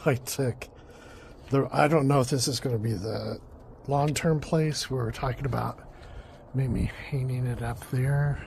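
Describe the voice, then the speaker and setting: Pausing long and often, a man speaks at a fairly slow pace in a medium pitch with ordinary pitch variation. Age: 60s. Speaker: home gardening vlogger. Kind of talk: casual garden vlog. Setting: outdoors in garden. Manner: casual with many fillers.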